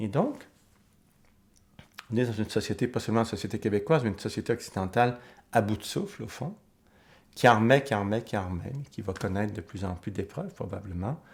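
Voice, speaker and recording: A man with a fairly low, somewhat breathy voice talks at a fairly quick pace but leaves long, frequent pauses, with ordinary pitch variation. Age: 60s. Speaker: author and psychoanalyst interviewee. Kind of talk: documentary interview. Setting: filmed documentary interview. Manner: reflective, with hesitations.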